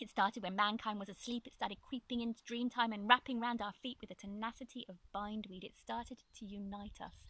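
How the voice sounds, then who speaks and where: A woman's fairly high, bright, sharp voice in a flat monotone, with big swings in loudness. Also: fairly quick pace, hardly any pauses, dry sound with no echo. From Ireland. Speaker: spoken word poet. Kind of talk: spoken word poetry performance. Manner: rhythmic. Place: open country.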